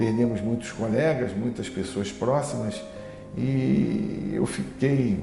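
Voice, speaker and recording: A man at a very slow pace, music in the background. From Rio de Janeiro, Brazil. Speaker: labour lawyer. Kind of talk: oral history interview answer.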